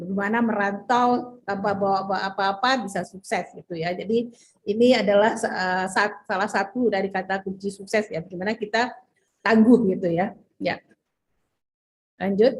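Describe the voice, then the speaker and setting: A woman speaks with a somewhat breathy voice and fairly even intonation. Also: medium pitch for a woman, moderate pace. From West Sumatra, Padang Panjang. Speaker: business leader giving a talk. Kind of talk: presentation with slides.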